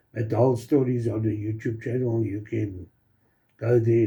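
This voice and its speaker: Somewhat breathy, the voice has a dark, mellow tone and monotone, flat intonation. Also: man. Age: 60s. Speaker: product promoter, channel owner. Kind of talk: promotional testimonial video. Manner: halting, many fillers.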